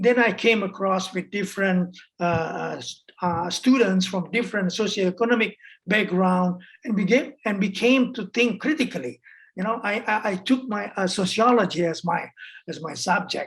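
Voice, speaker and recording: This woman's voice sits at a medium pitch and is somewhat breathy. Her pitch varies in an ordinary way. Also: moderate pace. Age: 60s. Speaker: human rights activist. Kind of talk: interview. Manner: halting, many fillers and repetitions.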